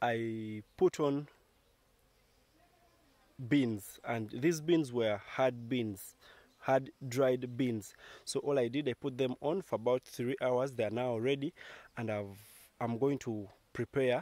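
The voice has a dark, mellow tone and ordinary pitch variation, moving at a very slow pace. Long, frequent pauses break it up, and the sound is dry with no echo. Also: man. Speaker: village life vlogger. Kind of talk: casual vlog chat. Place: farm machine. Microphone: phone near.

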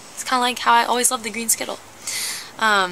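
A high-pitched woman's voice with ordinary pitch variation over light background noise. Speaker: vlogger. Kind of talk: casual vlog chat. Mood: wistful, playfully dramatic. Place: garden. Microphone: phone near.

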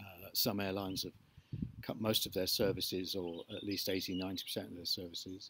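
A man with a very deep, low pitch, moderate pace and monotone, flat intonation, dry with no echo over light background noise. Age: 60s. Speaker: YouTuber vlogging about his electric car. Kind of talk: casual video diary monologue; casual vlog chat. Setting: in a barn. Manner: hesitant with many fillers. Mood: reflective, mild rant. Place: garden. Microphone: phone near.

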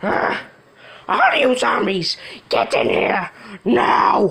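A put-on, growling character voice at a middle pitch and a very slow pace. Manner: possessed, commanding.

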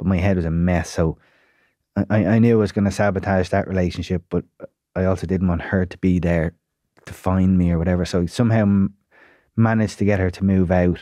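A man with an Irish accent speaks at a fairly quick pace in a very deep, low, dark, mellow voice with monotone, flat intonation and long, frequent pauses, in a dry sound with no echo over a quiet background. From Ireland. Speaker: psychotherapist and broadcaster; podcast guest. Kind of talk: casual chat. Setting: studio. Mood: reflective, candid about struggles. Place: studio. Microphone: studio mic.

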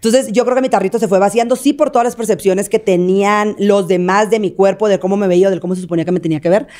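Against a quiet background, a woman with a dark, mellow tone talks at a very fast pace with hardly any pauses and ordinary pitch variation. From Mexico, Sinaloa. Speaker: content creator. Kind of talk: casual chat. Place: studio. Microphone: studio mic.

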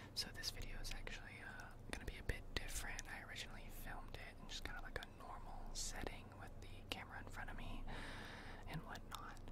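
A man whispers. Noticeable background noise can be heard behind him. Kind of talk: ASMR whispered storytelling of game lore. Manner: whispered, soft, slow, with hesitations.

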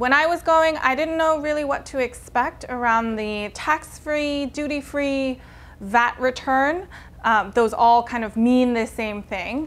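A woman speaks at a fairly slow pace in a high voice, with ordinary pitch variation. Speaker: fashion vlogger. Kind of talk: casual vlog tutorial. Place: home room. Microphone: lapel.

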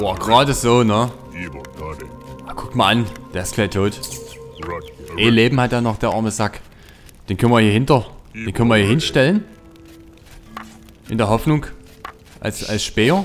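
Music plays in the background as a man speaks at a medium pitch and a moderate pace. His pitch varies in an ordinary way, with long, frequent pauses. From Saxony, Germany. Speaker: let's play gamer. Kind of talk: casual gameplay commentary.

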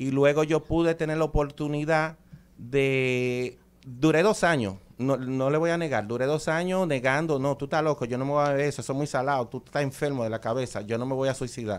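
Here is a man with a Dominican accent and a fairly high pitch. He talks at a fairly quick pace. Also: ordinary pitch variation. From Dominican Republic. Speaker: chiropractor and ancestral medicine practitioner. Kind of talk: promotional interview chat. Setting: radio studio. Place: studio. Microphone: studio mic.

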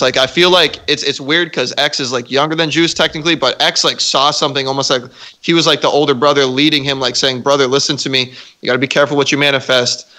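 Speaking at a very fast pace, a man uses a fairly high, bright, sharp voice. His intonation is monotone and flat, and the background is quiet. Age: 20s. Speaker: podcast guest. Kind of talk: casual chat. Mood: reflective, serious topic. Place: home room. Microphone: studio mic.

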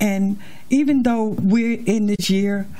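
With music in the background, a woman speaks with ordinary pitch variation. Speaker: pastor. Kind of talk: sermon. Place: church. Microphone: handheld.

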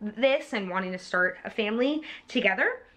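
Speaking at a moderate pace, a woman is heard. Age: 40s. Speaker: YouTuber. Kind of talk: casual storytime monologue. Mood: warm, reflective. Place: home room. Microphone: phone near.

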